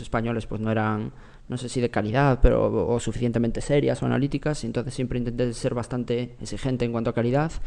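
With a dark, mellow tone, a man speaks at a very fast pace and fairly even intonation. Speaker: former tech journalist turned venture investor. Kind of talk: interview.

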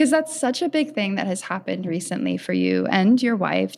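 On a very clean recording with a silent background, a woman speaks at a medium pitch with lively intonation. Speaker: podcast host. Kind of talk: interview. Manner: enthusiastic.

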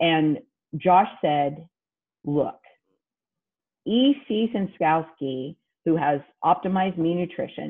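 A plain, everyday voice with an American accent and lively intonation. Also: woman. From Kansas. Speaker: CrossFit athlete and advocate. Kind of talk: interview.

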